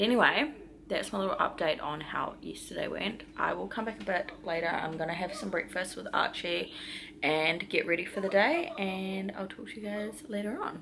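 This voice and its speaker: A woman with an Australian accent speaks at a medium pitch and moderate pace. Her intonation is lively, and noticeable background noise is present. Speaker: vlogger. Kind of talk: casual vlog talk. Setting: quarantine hotel room. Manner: soft-spoken.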